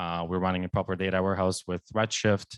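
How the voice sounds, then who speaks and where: A man with a very deep, low pitch is heard in a dry, close recording with no echo against a quiet background. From Poland. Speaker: data engineer. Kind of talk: tech talk. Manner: halting, many fillers.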